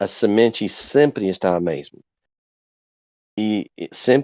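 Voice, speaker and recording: A man with an American accent. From USA. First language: English (speaking Portuguese). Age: 50s. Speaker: evangelist. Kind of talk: podcast interview. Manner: halting.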